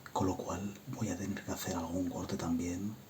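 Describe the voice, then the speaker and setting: Soft-spoken voice over noticeable background noise. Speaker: ASMR creator. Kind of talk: ASMR show-and-tell of a game console collection.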